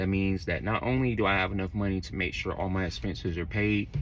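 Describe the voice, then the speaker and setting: A man with a very deep, low voice and an American accent speaks very fast with ordinary pitch variation, amid audible room echo and noticeable background noise. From Florida, Orlando. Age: 30s. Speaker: truck driver. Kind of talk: casual vlog talk. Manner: casual, conversational.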